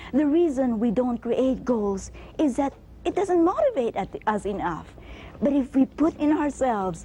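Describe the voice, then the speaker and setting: A woman speaks with a high pitch and very wide pitch swings. Her pace is fairly slow over noticeable background noise. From Canada. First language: not English. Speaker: motivational speaker. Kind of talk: motivational speech. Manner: animated.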